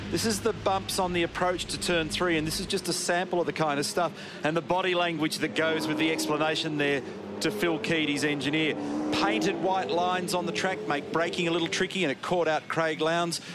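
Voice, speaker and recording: Over noticeable background noise, a man with a fairly high pitch talks in an animated tone at a fairly quick pace, his loudness very even. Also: ordinary pitch variation. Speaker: motorsport TV commentator. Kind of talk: race commentary, analytical track-guide and incident replay voiceover. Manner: animated, fluent broadcaster delivery, briskly explaining.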